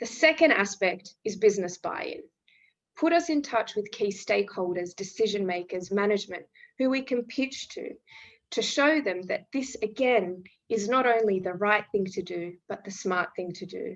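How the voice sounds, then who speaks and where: A woman with an Australian accent, medium pitch, lively intonation and a moderate pace against a quiet background. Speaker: refugee employment program representative. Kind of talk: webinar presentation. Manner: formal.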